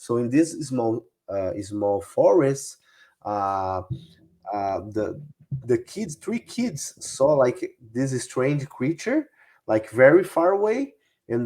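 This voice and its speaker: Speaking very slowly with lively intonation, a man with a Brazilian Portuguese accent talks at medium pitch on a very clean recording with a silent background. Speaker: UFO researcher. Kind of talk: interview. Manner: halting, many fillers.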